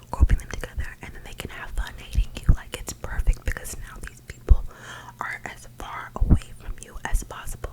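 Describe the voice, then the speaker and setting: A woman whispers at a moderate pace over noticeable background noise. Her loudness swings widely. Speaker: ASMR creator. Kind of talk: ASMR self-love ramble to camera. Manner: gentle.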